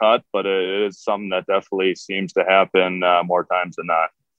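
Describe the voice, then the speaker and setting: An unremarkable speaking voice from a man, fairly low in pitch and at a fairly quick pace. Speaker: professional hockey defenseman. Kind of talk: casual interview answers.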